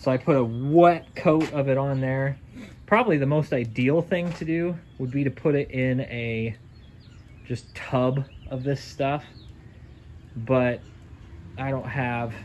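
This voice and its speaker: Over light background noise, a man talks at a fairly slow pace with ordinary pitch variation and long, frequent pauses. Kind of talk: casual DIY commentary. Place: garage. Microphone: phone near.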